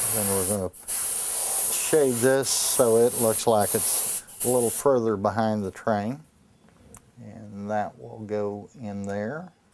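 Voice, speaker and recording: At a very slow pace, a man talks in a fairly low pitch with ordinary pitch variation and big swings in loudness. Noticeable background noise is present. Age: 60s. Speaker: artist. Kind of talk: interview.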